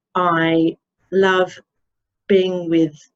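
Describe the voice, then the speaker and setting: A woman speaks with an English accent. Her pitch is fairly low and her intonation monotone and flat. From England. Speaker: obstetrician. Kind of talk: webinar presentation.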